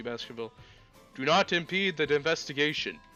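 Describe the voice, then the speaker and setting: A man puts on a booming character voice with a fairly high pitch, speaking at a fairly quick pace over faint background music. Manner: commanding, authoritative.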